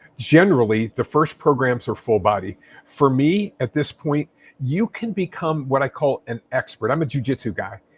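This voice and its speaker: Somewhat breathy and fairly high in pitch, a man talks at a moderate pace with lively intonation in a dry, close sound with no echo. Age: 60s. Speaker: fitness expert and author. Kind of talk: interview.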